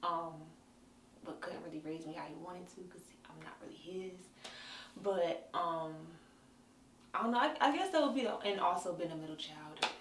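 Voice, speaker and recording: Audible room echo and noticeable background noise surround a woman's fairly low voice. She speaks with ordinary pitch variation and long, frequent pauses. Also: moderate pace, big swings in loudness. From North Carolina, small town. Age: 20s. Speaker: interviewee sharing life story. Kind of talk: personal interview testimony. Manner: hesitant, many fillers.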